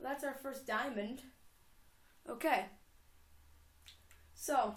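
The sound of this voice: Delivered at a very slow pace, the voice shows ordinary pitch variation. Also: woman, high pitch for a woman.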